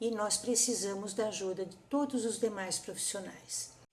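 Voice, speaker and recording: Amid audible room echo, a woman speaks at a fairly slow pace in a somewhat breathy voice, her fairly high pitch showing ordinary variation. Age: 60s. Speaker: psychomotor therapist. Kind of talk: conference talk.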